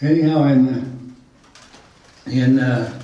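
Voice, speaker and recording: A man speaks at a medium pitch with an American accent. Room echo is audible. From Utah. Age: 80s+. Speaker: storyteller. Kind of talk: life-story talk to a small group. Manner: halting.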